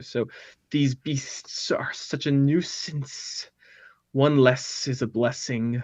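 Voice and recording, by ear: A man puts on a hissing character voice at a medium pitch. He talks at a very slow pace.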